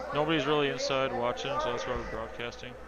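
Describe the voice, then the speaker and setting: Over noticeable background noise and audible room echo, a man speaks with an American accent. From US. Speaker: curling commentator. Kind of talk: live commentary.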